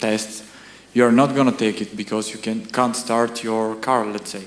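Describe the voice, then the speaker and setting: Amid noticeable background noise and audible room echo, a man with a Bulgarian accent speaks at a fairly low pitch. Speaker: audience member. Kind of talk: audience question. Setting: lecture hall with audience.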